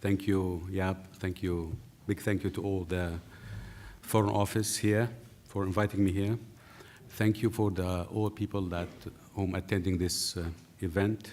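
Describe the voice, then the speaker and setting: A man with a non-native accent speaks at a moderate pace with long, frequent pauses and monotone, flat intonation. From Syria. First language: Arabic. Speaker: journalist. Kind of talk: lecture. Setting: seated, lecture hall with audience. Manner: halting.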